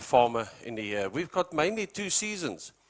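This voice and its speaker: Here a man talks with a South African accent at a moderate pace. His pitch is fairly high. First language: Afrikaans. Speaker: animal feed company representative. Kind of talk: presentation to farmers.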